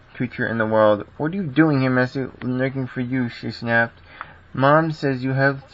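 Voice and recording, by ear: A natural voice reading aloud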